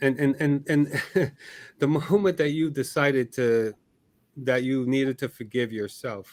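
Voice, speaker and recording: Recorded very cleanly against a silent background, a man speaks at a fairly slow pace with a Barbadian accent and ordinary pitch variation. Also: medium pitch for a man. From Barbados. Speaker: podcast host. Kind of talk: interview. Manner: halting, repeating words.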